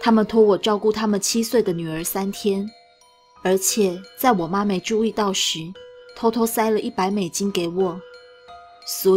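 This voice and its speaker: Over music in the background, a woman talks at a moderate pace and a medium pitch. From Taiwan. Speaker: story reader, streamer. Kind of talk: horror story reading, narration.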